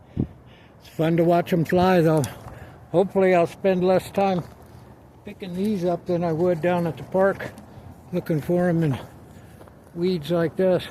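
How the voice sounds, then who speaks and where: Quiet and calm in tone, a high-pitched man speaks at a fairly slow pace with fairly even intonation and long, frequent pauses. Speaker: video blogger. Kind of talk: casual vlog while playing disc golf outdoors. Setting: outdoors. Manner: quiet, calm.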